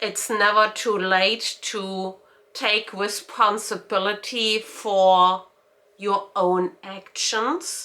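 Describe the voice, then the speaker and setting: A woman with a German accent speaks very slowly in a bright, sharp tone, at medium pitch and with fairly even intonation. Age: 40s. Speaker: lifestyle vlogger. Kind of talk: personal vlog monologue. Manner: hesitant, many fillers.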